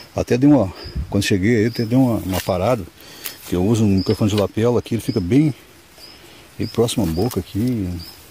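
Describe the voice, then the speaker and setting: Over noticeable background noise, a man talks at a very fast pace, broken by long, frequent pauses. His pitch is fairly low with ordinary variation. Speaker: stone prospecting vlogger. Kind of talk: outdoor vlog narration. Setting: outdoors in the woods. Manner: casual, filler-heavy.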